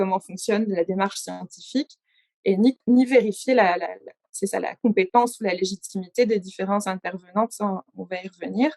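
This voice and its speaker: This woman speaks at a medium pitch with fairly even intonation. The sound is dry and close with no echo. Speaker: science journalist. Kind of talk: conference presentation. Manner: fast.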